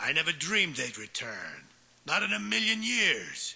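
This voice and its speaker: A man puts on a character voice, pitched high. His pitch swings very widely as he talks at a moderate pace. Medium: audio drama.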